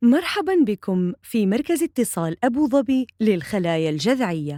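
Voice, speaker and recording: In a dry, close sound with no echo, a woman speaks at a fairly slow pace, her fairly high voice dark and mellow in tone with very wide pitch swings. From Saudi Arabia. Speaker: voice artist. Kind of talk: IVR phone system prompt.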